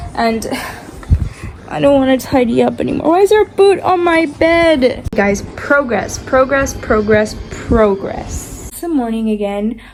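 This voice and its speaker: Over noticeable background noise, a woman speaks fairly slowly in a high voice with very wide pitch swings and big swings in loudness. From Argentina, Buenos Aires. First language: Spanish. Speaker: lifestyle vlogger. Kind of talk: casual vlog talk to camera. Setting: at home in bedroom. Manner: casual, filler-heavy.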